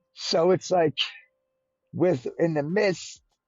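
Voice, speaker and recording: Loud and passionate, a man speaks at a fairly slow pace. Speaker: crypto podcast co-host. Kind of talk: podcast discussion. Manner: passionate, can get loud.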